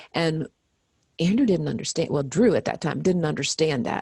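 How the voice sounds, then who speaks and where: The voice is somewhat breathy. It sounds dry and close, with no echo. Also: woman. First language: American Sign Language. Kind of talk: interview.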